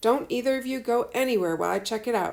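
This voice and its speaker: A woman does a put-on character voice, raspy and high-pitched, at a very fast pace. The recording is very clean with a silent background. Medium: read story. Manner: curt, commanding.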